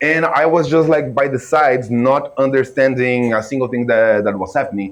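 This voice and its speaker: A man speaks with a Brazilian Portuguese accent. His pitch varies in an ordinary way. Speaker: filmmaker and reaction video creator. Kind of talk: reaction video commentary. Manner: casual, animated.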